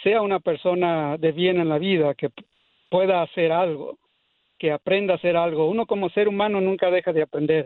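At a moderate pace, a man with a high-pitched voice speaks in fairly even intonation. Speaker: caller. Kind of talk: call-in comment on radio show. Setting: phone call.

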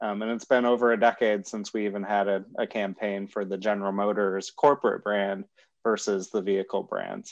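Against a quiet background, a man with a normal speaking voice talks at a fairly low pitch and a fairly quick pace. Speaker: car company communications manager. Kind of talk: interview about an ad campaign, casual and conversational.

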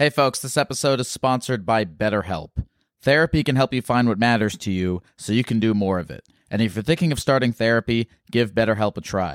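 A man talks at a fairly quick pace with a medium pitch and ordinary pitch variation. He has a normal speaking voice, and the sound is dry and close with no echo. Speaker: call-in show host. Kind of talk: casual chat with callers.

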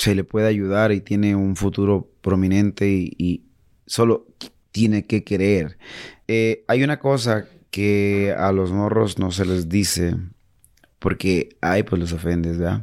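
A man talks very slowly at a fairly low pitch with fairly even intonation, on a very clean recording with a silent background. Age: 40s. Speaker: singer. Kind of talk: casual chat.

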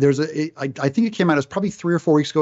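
Here is a man with a normal speaking voice. His pitch is fairly high, and his intonation is lively. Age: 50s. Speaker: video game creator. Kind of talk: casual chat.

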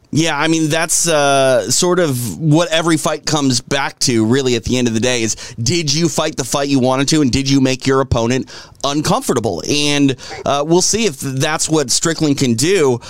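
In an ordinary speaking voice, a man talks at a moderate pace with a fairly high pitch, ordinary pitch variation, and very even loudness. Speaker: MMA show host. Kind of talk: casual studio chat show. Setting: studio. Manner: informal, chatty.

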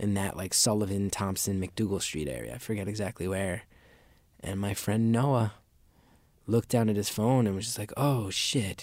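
A man at a fairly low pitch and moderate pace, with ordinary pitch variation, on a very clean recording over a silent background. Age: 30s. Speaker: comedian. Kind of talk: interview.

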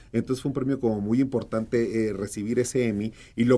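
A man speaks with a northern Mexican accent. His tone is dark and mellow, and his pace fairly quick. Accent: northern Mexican (Sonoran), kept. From Mexico, Sonora (Hermosillo). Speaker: actor and producer. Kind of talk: casual interview. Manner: animated.

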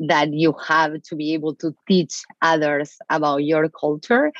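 The speaker has an Argentine accent. The sound is dry and close, with no echo. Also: woman. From Argentina. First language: Spanish. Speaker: marketing executive. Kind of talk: interview. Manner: direct.

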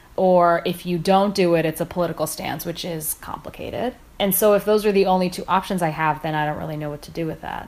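A woman's fairly low, slightly mellow voice at a fairly quick pace, with few pauses and fairly even intonation.

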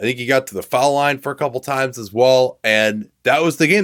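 Heard in a dry, close sound with no echo, a man with an ordinary speaking voice uses a medium pitch and ordinary pitch variation. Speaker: basketball podcast host. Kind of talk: sports commentary.

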